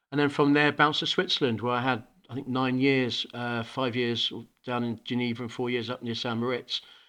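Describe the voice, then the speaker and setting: Over a quiet background, a man with a British accent and a bright, sharp tone speaks at a medium pitch and a fairly quick pace, his intonation monotone and flat. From Hong Kong, international school. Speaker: school principal. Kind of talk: interview. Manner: halting, repeats words.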